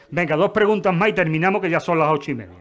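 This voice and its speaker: Noticeable background noise runs behind a man talking at a very fast pace. His pitch is fairly high, with ordinary pitch variation. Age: 60s. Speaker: retired urologist giving a talk. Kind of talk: Q&A after a lecture. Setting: lecture hall with audience.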